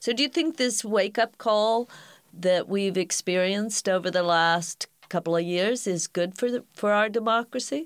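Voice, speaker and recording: A woman's plain, everyday voice at medium pitch, moderate pace and ordinary pitch variation, very even in loudness, dry and close with no echo, on a very clean recording with a silent background. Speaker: podcast host. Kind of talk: interview.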